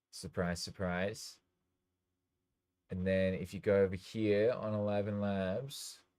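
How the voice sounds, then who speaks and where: A man with an Australian accent speaks very slowly at fairly low pitch, with a dark, mellow tone, monotone, flat intonation, and long, frequent pauses. The recording is very clean, with a silent background. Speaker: DJ and music producer livestreamer. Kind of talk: casual livestream talk.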